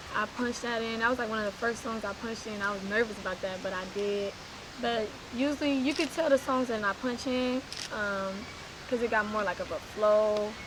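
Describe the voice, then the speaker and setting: Over noticeable background noise, a woman talks at a fairly quick pace and a fairly high pitch with fairly even intonation. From East Oakland, California. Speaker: rapper. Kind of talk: casual interview.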